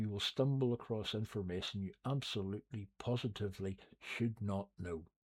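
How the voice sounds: This is a natural reading voice. It reads in a natural way.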